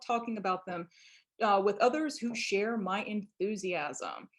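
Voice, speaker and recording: A moderate pace marks this speech. It is delivered in a Southern US accent. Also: woman. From Louisiana, US Deep South. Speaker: biology professor and birder. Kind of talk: online presentation.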